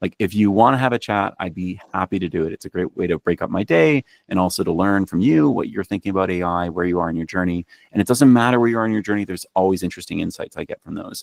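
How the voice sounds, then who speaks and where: This man speaks at a very fast pace in a very deep, low voice with ordinary pitch variation, and the sound is dry and close with no echo. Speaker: technology executive and presenter. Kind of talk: presentation on a members' call.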